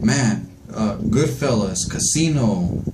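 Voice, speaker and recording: A man talks with very wide swings in pitch, and room echo can be heard. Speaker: astrology vlogger. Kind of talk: casual monologue. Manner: halting, many fillers.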